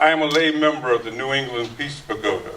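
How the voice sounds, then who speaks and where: A man with an American accent at a fairly quick pace, ordinary pitch variation, and noticeable background noise. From US South, North Carolina. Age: 60s. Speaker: activist and Buddhist lay member. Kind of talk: testimony. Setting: church hall with audience.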